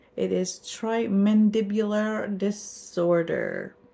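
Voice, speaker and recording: On a very clean recording with a silent background, a woman's dark, mellow tone carries ordinary pitch variation. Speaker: vlogger. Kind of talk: casual vlog talk.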